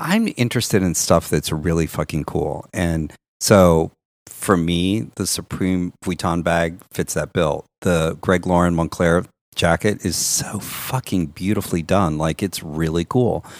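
A man with an American accent, very deep and low pitch, fairly even intonation and a fairly slow pace, in a very clean recording with a silent background and a dry, close sound with no echo. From Kansas, US Midwest. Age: 50s. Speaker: fashion director. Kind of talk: casual chat.

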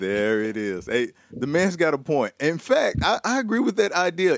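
A man with a Southern US accent and very wide pitch swings, heard dry and close with no echo. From US South. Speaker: radio host. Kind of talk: casual chat. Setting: video call.

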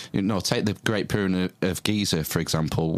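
Very deep and low, a man's voice holds fairly even intonation. The recording is very clean with a silent background. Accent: British. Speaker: podcast host. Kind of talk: casual interview chat.

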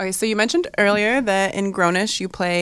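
The speaker has an ordinary speaking voice with an American accent. The pace is fairly quick and the intonation fairly even. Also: woman. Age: 20s. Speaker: podcast host and model. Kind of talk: casual chat.

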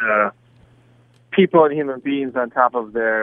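In a normal speaking voice, a man talks at a fairly quick pace with an American accent. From US, Southern California. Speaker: soccer coach. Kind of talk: interview.

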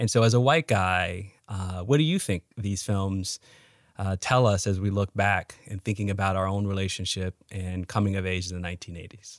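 A man with an American accent has a plain, everyday voice, fairly low in pitch with fairly even intonation. He speaks at a moderate pace in a dry, close sound with no echo. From Chicago, US (South Side). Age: 40s. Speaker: historian. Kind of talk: casual chat.

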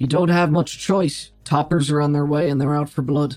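A put-on character voice holds a very even loudness throughout. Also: man, fairly high pitch for a man, moderate pace, fairly even intonation. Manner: confident, urgent.

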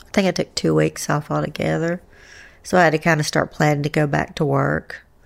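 A woman speaks with an Appalachian accent. The recording is very clean, with a silent background. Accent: gentle Appalachian drawl. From US South, Asheville, North Carolina. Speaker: bereaved mother of a fallen Marine, teacher. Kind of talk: interview. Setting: at home.

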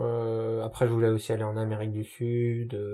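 A man speaks at medium pitch in a dark, mellow, somewhat breathy voice with fairly even intonation. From France, Paris area (Noisy-le-Grand). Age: 20s. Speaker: graphic designer. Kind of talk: casual interview. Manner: halting, many hesitations.

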